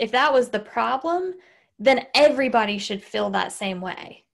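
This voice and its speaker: With a Southern US accent, a woman speaks at a moderate pace in a high voice with lively intonation. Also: very clean recording, silent background. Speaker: podcast host. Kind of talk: casual chat. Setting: recorded podcast with husband.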